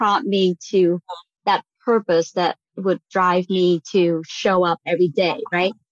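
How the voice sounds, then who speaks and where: With a Vietnamese accent, a woman speaks at medium pitch in a dry, close sound with no echo. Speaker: real estate investor. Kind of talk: casual chat.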